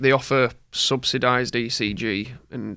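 On a very clean recording with a silent background, a man with a Yorkshire accent speaks in a bright, sharp tone with vocal fry and monotone, flat intonation. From Yorkshire, England. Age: 20s. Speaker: former cyclist, heart attack survivor. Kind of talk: casual interview.

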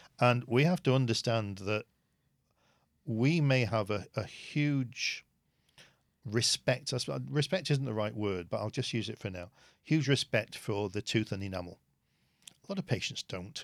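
Lively intonation in a British accent, moderate pace with long, frequent pauses, and a dry, close sound with no echo on a very clean recording with a silent background. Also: man, medium pitch for a man. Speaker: dentist and dental educator. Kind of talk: interview.

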